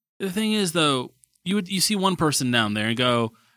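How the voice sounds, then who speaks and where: A man speaks in a raised, projected voice at a fairly quick pace, his bright, sharp tone riding very wide pitch swings. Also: very clean recording, silent background. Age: 20s. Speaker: podcast co-host. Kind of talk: casual chat.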